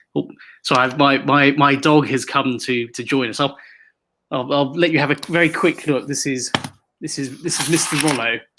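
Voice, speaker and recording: A man's fairly high voice in a British accent, bright and sharp in tone, with fairly even intonation at a moderate pace. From Hong Kong. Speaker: author and activist. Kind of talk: interview. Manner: halting, many repetitions and fillers.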